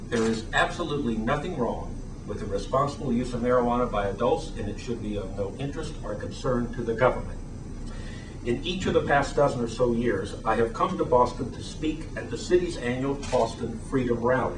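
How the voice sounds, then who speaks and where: A man speaks at a fairly quick pace, with a medium pitch and ordinary pitch variation. The recording carries noticeable background noise and audible room echo. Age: 60s. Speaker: attorney and activist. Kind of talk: press conference statement. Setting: press conference.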